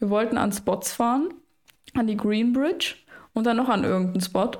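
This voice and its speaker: A woman with a fairly high pitch speaks at a moderate pace in a normal speaking voice. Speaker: podcast host. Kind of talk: casual chat.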